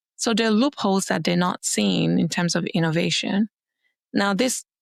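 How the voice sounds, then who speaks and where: A woman with a Nigerian accent comes through on a very clean recording with a silent background and a dry, close sound with no echo. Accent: Nigerian accent, noticeable. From Nigeria, Lagos. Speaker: venture capital investor. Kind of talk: podcast interview.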